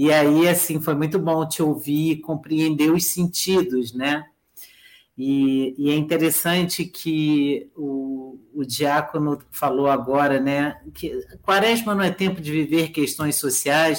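Very slow speech from a woman, very deep and low in pitch. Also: fairly even intonation. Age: 50s. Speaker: professor of education. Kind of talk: lecture-style talk.

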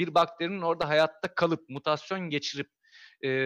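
A man's high-pitched voice, dry and close with no echo, over a quiet background. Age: 40s. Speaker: amateur astronomer. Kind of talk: casual chat. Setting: live stream.

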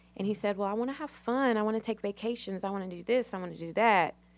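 A woman talks at a very fast pace in an American accent. The recording is very clean, with a silent background. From Virginia, US South. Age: 20s. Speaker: guest sharing personal story. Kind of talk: testimony.

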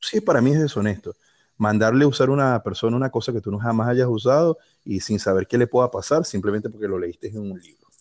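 A man at a medium pitch with a Venezuelan accent, at a very fast pace with ordinary pitch variation and big swings in loudness, in a dry, close sound with no echo and a quiet background. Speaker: fitness YouTuber. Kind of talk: casual chat.

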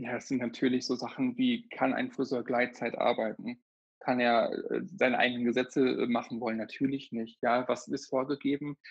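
A man with a medium pitch speaks at a moderate pace with monotone, flat intonation. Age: 30s. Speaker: hairdresser and trainer. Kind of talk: casual interview.

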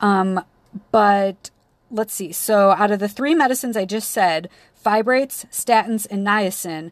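Over a very clean recording with a silent background, a woman at a medium pitch talks at a fairly slow pace with an animated tone and lively intonation. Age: 30s. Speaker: physician assistant student podcaster. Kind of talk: lecture.

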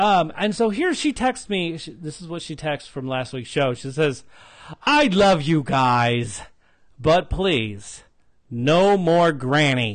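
Speaking at a very slow pace, a man with a fairly high pitch makes very wide pitch swings and big swings in loudness against a quiet background. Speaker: podcast host. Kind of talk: casual chat. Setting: recorded in Las Vegas, Henderson.

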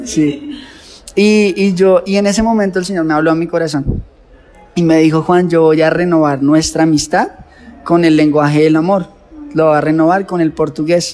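A man with a Colombian accent talks at a moderate pace in a high pitch with ordinary pitch variation. Noticeable background noise can be heard. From Colombia, near Bogotá. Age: 30s. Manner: passionate, intense, emotional.

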